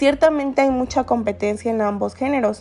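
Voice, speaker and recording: Her voice high-pitched yet dark and mellow in tone, a woman speaks at a moderate pace with ordinary pitch variation. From Guerrero, Mexico (San Marcos, coast). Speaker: student podcaster. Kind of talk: personal essay monologue.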